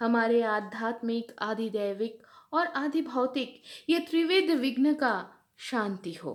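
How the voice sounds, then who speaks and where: A woman speaks in a fairly high pitch with lively intonation. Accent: Bengali. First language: Bengali (speaking Hindi). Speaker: spiritual teacher reading scripture. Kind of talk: scripture reading and explanation. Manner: halting, with fillers.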